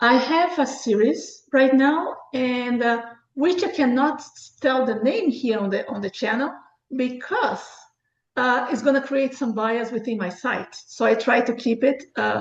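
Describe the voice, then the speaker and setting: A woman with a non-native accent speaks at a fairly slow pace, her high pitch showing ordinary variation. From Brazil. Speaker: author and book review site founder. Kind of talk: interview.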